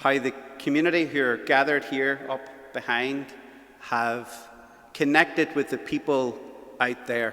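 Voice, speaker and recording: In a Belfast accent, a man with a fairly high pitch talks at a moderate pace with fairly even intonation. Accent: Belfast Northern Irish. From Northern Ireland, West Belfast. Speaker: event host, youth ministry worker. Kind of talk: event hosting speech. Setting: church with live audience and webcam.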